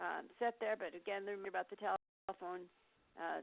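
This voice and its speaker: A woman speaks at a medium pitch with ordinary variation. Her pace is fairly quick. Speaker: career development program facilitator. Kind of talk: webinar presentation. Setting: online meeting with phone lines. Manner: fast.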